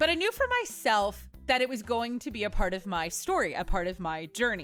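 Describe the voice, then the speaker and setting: A woman's fairly high voice at a fairly quick pace, with very wide pitch swings and music in the background. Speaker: podcast host. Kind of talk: podcast intro monologue.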